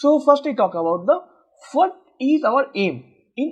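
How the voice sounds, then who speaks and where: A man's voice at a moderate pace, with very wide swings in pitch. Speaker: civil engineering teacher. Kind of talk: tutorial lecture.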